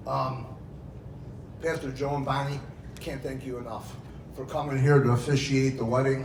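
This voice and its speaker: A man speaks at a moderate pace in a medium pitch with monotone, flat intonation, audible room echo and crowd noise behind him. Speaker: father of the bride. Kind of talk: wedding speech. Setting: wedding reception with audience. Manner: loud; emotional, near tears.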